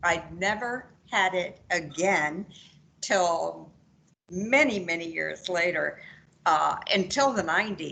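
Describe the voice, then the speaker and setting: A woman's fairly low, bright, sharp voice with vocal fry, lively intonation, a very slow pace and long, frequent pauses. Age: 70s. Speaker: patient. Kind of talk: testimony.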